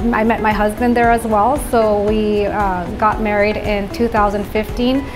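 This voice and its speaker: Clear music plays behind a woman speaking. Her intonation is flat and monotone, and her pace is moderate. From born in Venezuela, grew up in the Netherlands. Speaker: orthodontist. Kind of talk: interview answer. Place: office. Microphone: lapel.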